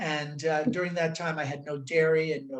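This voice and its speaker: A somewhat breathy voice at a fairly quick pace with fairly even intonation. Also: man. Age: 70s. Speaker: chiropractor and nutritionist. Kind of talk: interview. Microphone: connection breaking up.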